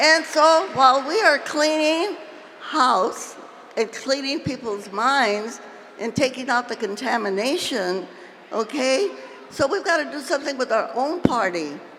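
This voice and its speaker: A high-pitched woman talks at a fairly slow pace, her intonation lively, as noticeable background noise continues. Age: 80s+. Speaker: labor and civil rights leader. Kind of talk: political speech to convention. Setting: convention stage, PA system.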